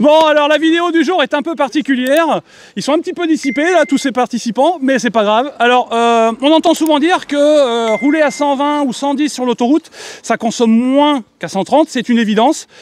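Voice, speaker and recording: The voice is loud, at a moderate pace with ordinary pitch variation. The recording sounds dry and close, with no echo. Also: man, extremely high pitch for a man. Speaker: YouTuber, electric car channel host. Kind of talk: casual presentation to camera with group. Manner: loud, expressive.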